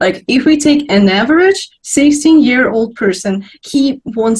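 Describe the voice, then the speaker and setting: In a somewhat breathy voice with lively intonation, a woman speaks at a fairly slow pace. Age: young. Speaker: young philosopher. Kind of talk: panel discussion.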